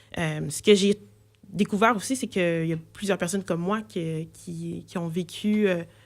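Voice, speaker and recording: Speaking at a very slow pace, a woman has a slight Quebec accent. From Quebec, Saint-Hubert (Longueuil). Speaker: multidisciplinary artist. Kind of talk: radio interview. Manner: halting, many hesitations and repetitions.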